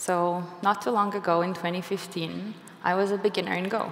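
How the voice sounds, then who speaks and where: A woman with a non-native accent and fairly low pitch speaks in a monotone, flat intonation, with audible room echo and noticeable background noise. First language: not English. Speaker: software engineer and conference speaker. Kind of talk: conference talk. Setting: stage with audience.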